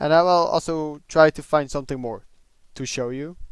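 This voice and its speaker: Speaking at a moderate pace with a non-native accent, a man with a fairly high pitch is heard in a dry, close sound with no echo. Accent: noticeable non-native. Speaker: tech hobbyist. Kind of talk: casual tech review talk.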